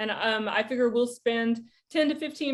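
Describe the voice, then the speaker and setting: A woman speaks in a fairly high pitch with a Southern US accent. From US South. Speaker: poet and creative writing professor. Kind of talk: lecture. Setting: video call. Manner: casual, informal.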